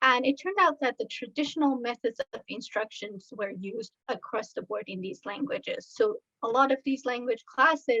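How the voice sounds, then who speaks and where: The sound is dry and close, with no echo. A woman speaks at a moderate pace in a high voice with a bright, sharp tone. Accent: slight Iranian. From Iran. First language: Farsi. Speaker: researcher. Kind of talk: presentation. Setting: online video talk.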